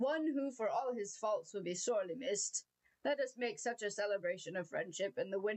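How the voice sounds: Against a quiet background, a natural voice reads aloud.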